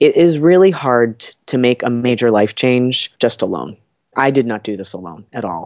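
A man speaks in a normal speaking voice at a medium pitch and a moderate pace. His intonation is lively, and his loudness swings widely. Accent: American. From New Jersey. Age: 30s. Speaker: health coach. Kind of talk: casual interview.

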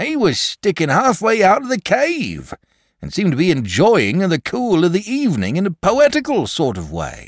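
In a put-on character voice, a man speaks at a high pitch with very wide pitch swings and a moderate pace. The sound is dry and close with no echo, on a very clean recording with a silent background.

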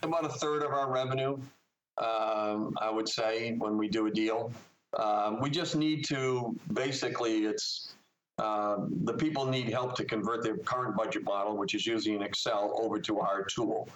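A man with a normal speaking voice, very even loudness, a moderate pace and ordinary pitch variation. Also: medium pitch for a man. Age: 60s. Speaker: software company executive. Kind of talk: interview.

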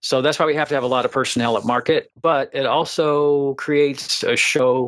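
Here a man with a plain, everyday voice speaks at a moderate pace with fairly even intonation. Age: 60s. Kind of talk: interview.

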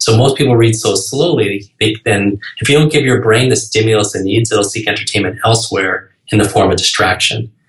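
Somewhat breathy and medium in pitch, a man with an American accent talks at a fairly quick pace. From New York. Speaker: speed-reading coach. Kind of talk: podcast interview. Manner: fast.

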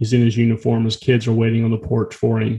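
A man with a dark, mellow tone and medium pitch talks at a fairly quick pace, sounding somewhat breathy. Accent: American. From US South, rural North Florida. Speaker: fitness and meditation instructor. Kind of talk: casual interview chat and storytelling.

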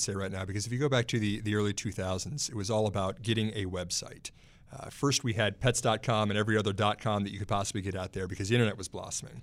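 Talking very fast with hardly any pauses, a man with an American accent speaks at a fairly low pitch. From Texas. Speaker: stock market analyst. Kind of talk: casual chat. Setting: studio.

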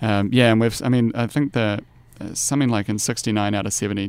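Talking at a very fast pace, a man with a New Zealand accent has a fairly low pitch, ordinary pitch variation and vocal fry. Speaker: investment analyst. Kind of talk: casual interview. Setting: studio.

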